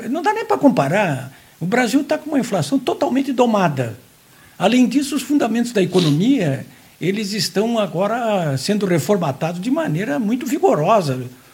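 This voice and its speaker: Pitched high, a man talks with very wide pitch swings. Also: moderate pace. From Santa Catarina, Brazil (Jaraguá do Sul). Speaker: journalist. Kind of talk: casual interview chat.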